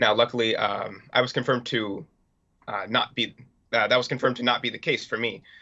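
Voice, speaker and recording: At a fairly quick pace, a man with a medium-pitched voice speaks in a monotone, flat intonation. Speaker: TikTok creator with vision loss. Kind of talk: TV news interview. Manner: halting, many fillers.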